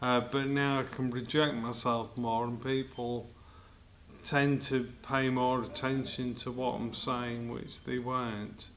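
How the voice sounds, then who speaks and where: Audible room echo surrounds a man speaking at a very slow pace. His medium-pitched voice stays monotone and flat. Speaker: choir member with multiple sclerosis. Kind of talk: interview.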